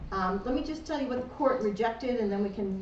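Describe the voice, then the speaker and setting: Speaking at a very fast pace with an American accent and ordinary pitch variation, the voice comes through noticeable background noise and audible room echo. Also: woman. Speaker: lawyer and association trustee. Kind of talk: legal update presentation to an audience.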